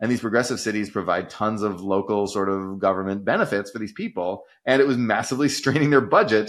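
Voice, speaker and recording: Talking very fast with hardly any pauses, a man uses a fairly low pitch, ordinary pitch variation and an animated tone. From Texas. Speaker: economics commentator. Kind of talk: casual chat.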